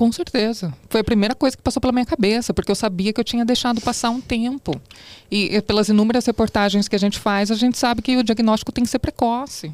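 A woman speaks very fast in a fairly high voice, with ordinary pitch variation and very even loudness. The sound is dry and close, with no echo. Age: 30s. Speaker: TV reporter, cancer survivor. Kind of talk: testimony.

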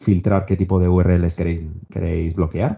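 Speech proceeds at a moderate pace. There is a somewhat breathy quality to it. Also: man. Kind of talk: casual chat.

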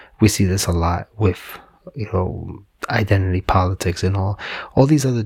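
A man's somewhat breathy, fairly low-pitched voice at a moderate pace. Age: 40s. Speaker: podcast host. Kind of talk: solo monologue, personal reflection.

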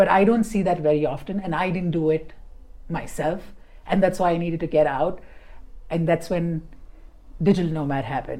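A woman speaks at a moderate pace in a fairly low pitch, her tone dark and mellow. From India, Bombay. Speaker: digital nomad. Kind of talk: casual chat. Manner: animated.

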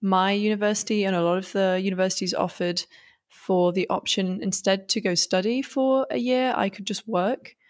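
In a very clean recording with a silent background, a woman with a northern English accent talks at a moderate pace and a medium pitch, with ordinary pitch variation. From northern England. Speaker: 3D artist and designer. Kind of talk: casual interview chat.

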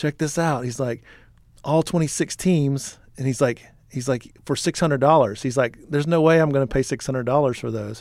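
A man with a Texan accent talks at a moderate pace in a medium pitch with ordinary pitch variation, in a very clean recording with a silent background. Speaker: podcast co-host, apparel business co-founder. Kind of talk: casual chat.

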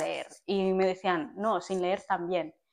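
A woman talks at a moderate pace in a medium pitch. It is a normal speaking voice. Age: 20s. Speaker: podcast co-host. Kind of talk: casual chat.

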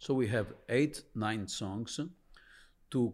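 The very clean recording with a silent background captures a man of medium pitch with an Italian accent and ordinary pitch variation. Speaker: blues musician and business co-founder. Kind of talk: interview.

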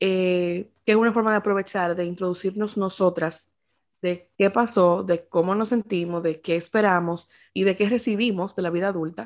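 A woman with an ordinary speaking voice talks at a moderate pace and medium pitch, her intonation fairly even. The recording is very clean, with a silent background. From Dominican Republic. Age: 20s. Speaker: podcast co-host. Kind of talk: casual chat.

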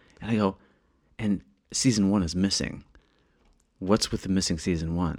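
With an American accent, a man with a very deep, low pitch talks at a moderate pace in fairly even intonation, leaving long, frequent pauses, on a very clean recording with a silent background. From US small town. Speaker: podcast host. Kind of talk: casual chat. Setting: apartment in Paris.

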